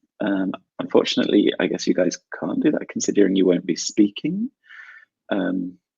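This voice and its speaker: A man with a British accent talks with long, frequent pauses, the sound dry and close with no echo. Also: moderate pace. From South London, England. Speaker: English teacher. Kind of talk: online English class webinar.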